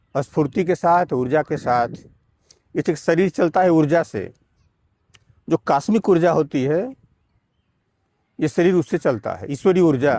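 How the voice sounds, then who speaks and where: A man speaks in a fairly high voice with a dark, mellow tone and lively intonation. He leaves long, frequent pauses, and the sound is dry and close with no echo. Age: 70s. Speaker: yoga teacher. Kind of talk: tutorial.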